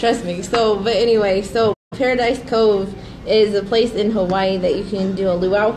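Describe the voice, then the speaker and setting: A woman with an American accent speaks at a moderate pace and medium pitch, her intonation flat and monotone. Noticeable background noise and audible room echo fill the recording. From Nebraska, Grand Island. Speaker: photographer, small business owner. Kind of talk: casual interview. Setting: live stream.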